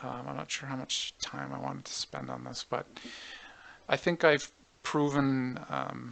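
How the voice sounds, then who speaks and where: A man speaks at a fairly slow pace with long, frequent pauses and big swings in loudness. There is noticeable background noise. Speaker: game developer tutorial creator. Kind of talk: tutorial. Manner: hesitant, many fillers.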